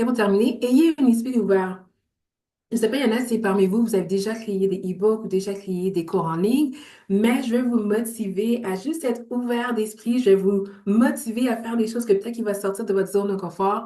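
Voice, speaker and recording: At a moderate pace, a woman speaks in a fairly high pitch with a dark, mellow tone. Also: ordinary pitch variation. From Montreal, Quebec. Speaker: entrepreneur and business coach. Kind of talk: online workshop presentation.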